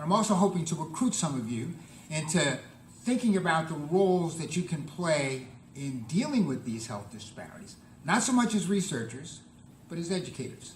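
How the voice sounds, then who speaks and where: Room echo surrounds a man who speaks at a moderate pace in a high voice with very wide pitch swings. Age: 70s. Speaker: public health professor. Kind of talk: lecture. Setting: conference room with audience.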